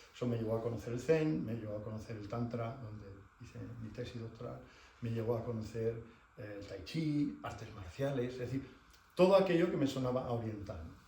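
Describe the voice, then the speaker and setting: A man at a medium pitch speaks at a fairly quick pace with ordinary pitch variation. His loudness swings widely, and the room echo is audible. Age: 60s. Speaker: shiatsu teacher. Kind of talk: lecture. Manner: conversational, many filler words.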